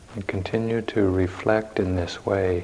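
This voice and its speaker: A man speaks in a calm, gentle tone at a fairly low pitch, very slowly and in a monotone, flat intonation, over noticeable background noise. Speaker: meditation teacher. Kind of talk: guided meditation. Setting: meditation retreat hall. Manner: slow, calm, measured; soft-spoken, gentle, with long silences.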